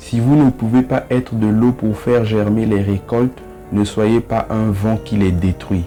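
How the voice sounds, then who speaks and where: A man's fairly low voice at a fairly slow pace, with ordinary pitch variation and music in the background. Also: very even loudness. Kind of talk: motivational quote reading.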